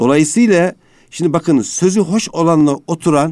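Heard on a very clean recording with a silent background, a man with a dark, mellow tone swings his pitch very widely. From Anatolia, Turkey. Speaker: sociologist and education administrator. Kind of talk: radio interview. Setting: studio.

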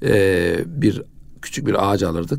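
The voice has a dark, mellow tone with vocal fry. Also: man. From Kayseri, central Anatolia, Turkey. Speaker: mufti, religious official. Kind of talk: radio interview, life story. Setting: radio studio.

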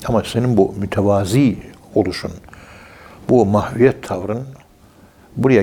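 Speaking at a fairly slow pace, a man has fairly low pitch and fairly even intonation. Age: 60s. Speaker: professor of Sufism. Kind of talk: religious talk on radio.

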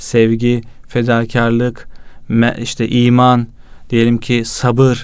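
This man talks at a very slow pace with a medium pitch. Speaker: youth association president and magazine editor. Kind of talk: religious talk. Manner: energetic.

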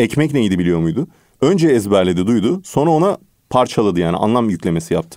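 With a dark, mellow tone, a man speaks at a fairly quick pace and fairly low pitch, his loudness very even but his pitch swinging very widely. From Turkey. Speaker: English teacher and author. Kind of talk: radio interview. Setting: radio studio.

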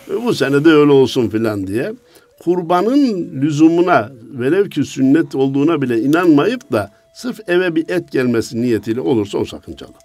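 A man with a fairly high pitch swings very widely in tone at a moderate pace over noticeable background noise. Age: 60s. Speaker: Islamic religious scholar. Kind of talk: religious talk. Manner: animated.

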